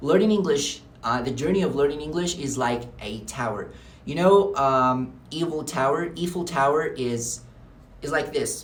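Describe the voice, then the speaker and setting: A man's fairly high voice at a moderate pace, with ordinary pitch variation and audible room echo. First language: Arabic. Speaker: English teacher. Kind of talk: unscripted tutorial to camera. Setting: talking to camera. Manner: filler-heavy with hesitations.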